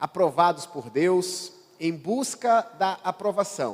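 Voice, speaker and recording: A man with a northeastern Brazilian accent, very slow pace and lively intonation, over noticeable background noise. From Brazilian Northeast. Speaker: pastor. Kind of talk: sermon. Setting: church.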